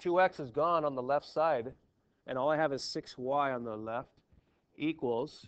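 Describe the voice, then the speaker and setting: A man with a fairly high pitch speaks in an animated tone with ordinary pitch variation against a quiet background. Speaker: math teacher. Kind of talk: classroom lecture. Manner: fast; casual, animated.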